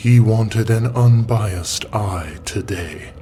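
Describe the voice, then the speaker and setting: Rumbling in a put-on character voice, the speaker moves at a fairly slow pace. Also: man, medium pitch for a man. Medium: read story. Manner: playful, amused.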